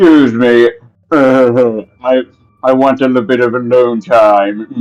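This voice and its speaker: A man puts on a character voice at a medium pitch, speaking at a fairly slow pace with fairly even intonation. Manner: mysterious, hesitant.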